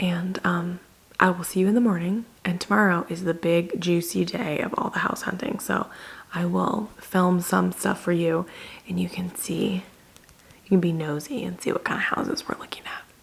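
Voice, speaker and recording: Quiet and fairly low-pitched, a woman speaks at a moderate pace with fairly even intonation over noticeable background noise. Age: 20s. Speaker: lifestyle vlogger. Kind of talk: casual vlog talk to camera. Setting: rented house at night, indoors. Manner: quiet, low volume to avoid waking others; low-energy, subdued.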